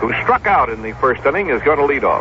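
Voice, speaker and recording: Noticeable background noise under a man at a moderate pace. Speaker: baseball radio play-by-play announcer. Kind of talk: 1965 radio baseball play-by-play broadcast.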